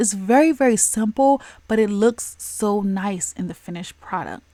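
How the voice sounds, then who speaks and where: A woman speaks breathily at a moderate pace in a fairly high pitch. Her intonation is lively. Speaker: nail art content creator. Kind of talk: casual tutorial vlog. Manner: breathy, heavy breathing.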